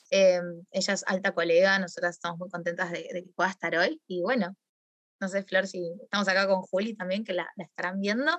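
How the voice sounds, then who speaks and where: Speaking at a fairly quick pace, a woman of medium pitch shows big swings in loudness, the sound dry and close with no echo. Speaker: astrologer and talk host. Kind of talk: casual chat. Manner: hesitant, many fillers.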